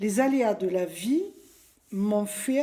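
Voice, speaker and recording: Her tone is dark and mellow, somewhat breathy, and her pitch sits fairly high. The woman speaks at a very slow pace with lively intonation. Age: 60s. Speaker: former nurse giving a client testimonial. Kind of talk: testimony.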